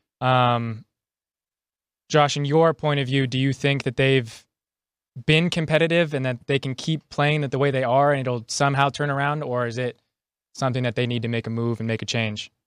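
Here a man with an American accent speaks in a plain, everyday voice of medium pitch, at a moderate pace with fairly even intonation. The recording is very clean with a silent background and a dry, close sound with no echo. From Chicago.

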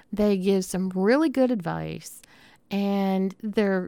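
A woman speaks at a medium pitch with a Southern US accent and a warm tone. The sound is dry and close with no echo, in a very clean recording over a silent background. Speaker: podcast host. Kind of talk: casual solo podcast monologue. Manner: informal, chatty, warm.

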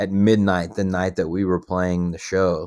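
On a very clean recording with a silent background, a man with a Texan accent speaks at a moderate pace in a very deep, low pitch and a monotone, flat intonation. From Texas (Paducah, rural West Texas). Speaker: musician. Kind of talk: interview. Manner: casual, filler-heavy.

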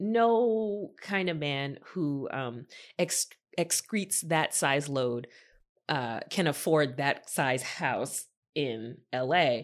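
On a very clean recording with a silent background, a woman with a very deep, low pitch speaks at a very slow pace, her pitch swinging very widely. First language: not English. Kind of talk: casual chat. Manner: animated.

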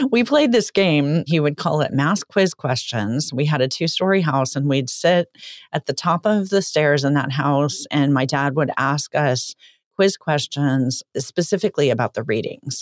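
With an American accent, a woman talks at a moderate pace in a very deep, low voice with lively intonation, recorded very cleanly against a silent background in a dry, close sound with no echo. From California. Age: 50s. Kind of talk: casual interview.

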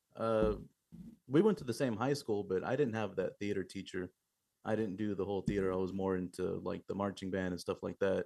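A man with a Texan accent talks at a fairly quick pace, his fairly low pitch carrying a dark, mellow tone and ordinary pitch variation. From Eagle Lake, Texas. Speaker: metal drummer. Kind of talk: interview.

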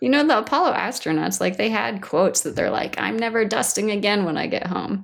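A woman at a fairly quick pace, with hardly any pauses. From US Pacific Northwest (Washington State). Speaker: planetary science researcher. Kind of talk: interview. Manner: hesitant, many fillers.

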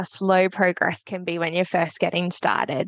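With an Australian accent, a woman speaks at a moderate pace over a quiet background, the sound dry and close with no echo. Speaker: podcast host and speech pathologist. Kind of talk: interview conversation.

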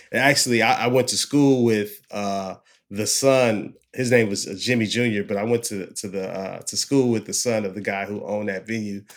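A man's plain, everyday voice with an American accent, medium pitch and fairly even intonation, at a moderate pace with hardly any pauses, on a very clean recording with a silent background. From US West Coast, Oakland, Bay Area. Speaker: music talent buyer. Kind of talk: casual interview. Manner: relaxed, many fillers and repeats.

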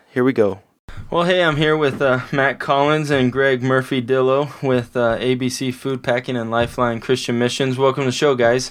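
A man with an American accent speaks at a moderate pace in an ordinary speaking voice, medium in pitch, with fairly even intonation over a quiet background. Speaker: pastor and podcast host. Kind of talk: casual interview.

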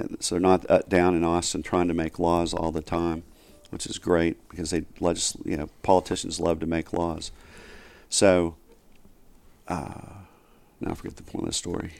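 In a very clean recording with a silent background, a man with a Southern US accent speaks at a moderate pace in a very deep, low pitch, with monotone, flat intonation and long, frequent pauses. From US South, Northwest Arkansas. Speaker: investor and criminal justice reform advocate. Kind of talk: interview. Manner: halting, many fillers.

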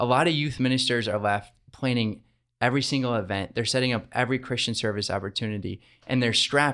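With an American accent and a normal speaking voice, the speaker moves at a fairly quick pace. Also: man. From Michigan. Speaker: diocesan youth ministry director. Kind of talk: interview. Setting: studio.

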